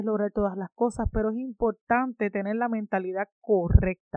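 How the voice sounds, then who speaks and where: Speaking in a monotone, flat intonation, a woman keeps a moderate speed and a fairly high pitch. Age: 30s. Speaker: podcast host. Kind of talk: motivational monologue.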